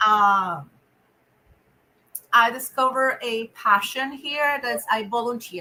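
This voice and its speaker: A woman with a Spanish accent speaks very slowly at a fairly high pitch, her tone bright and sharp, her pitch varying in an ordinary way, with long, frequent pauses. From Venezuela. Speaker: nonprofit director. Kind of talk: interview. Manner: halting.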